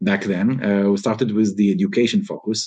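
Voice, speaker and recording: A man's fairly low-pitched voice with an Israeli accent, a dark, mellow tone and fairly even intonation. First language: Hebrew. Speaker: robotics company founder. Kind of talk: interview. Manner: many fillers (uh, um, you know).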